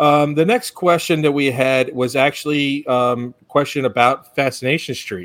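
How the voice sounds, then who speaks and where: A man with an ordinary speaking voice, fairly high in pitch, with ordinary pitch variation, a fairly slow pace and hardly any pauses. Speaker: podcast host. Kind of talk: casual chat.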